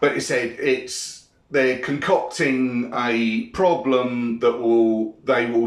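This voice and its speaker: A man with a British accent speaks at a very slow pace. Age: 50s. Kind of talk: casual monologue responding to comments. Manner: irritated, ranting.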